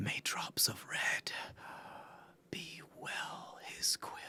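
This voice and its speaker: A man's whispering, put-on character voice at a very slow pace. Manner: haunting.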